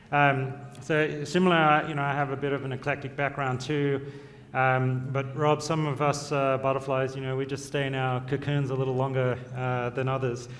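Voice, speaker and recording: The delivery is monotone and flat at a moderate pace. Room echo can be heard. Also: man. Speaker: fund manager. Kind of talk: panel discussion.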